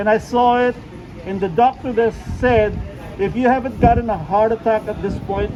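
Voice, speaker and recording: A man with a high voice speaks at a moderate pace with fairly even intonation. Noticeable noise runs in the background. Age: 60s. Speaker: travel vlogger. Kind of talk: casual chat.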